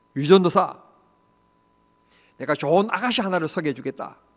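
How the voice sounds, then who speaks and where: Pitched high, this man's voice moves through very wide pitch swings. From rural Korea. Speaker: pastor. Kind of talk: sermon.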